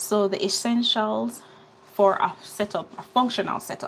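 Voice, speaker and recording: Noticeable background noise accompanies a woman with a Jamaican accent speaking at a medium pitch with ordinary pitch variation. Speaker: skincare business owner and online teacher. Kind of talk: live stream tutorial. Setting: live stream. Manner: casual, chatty.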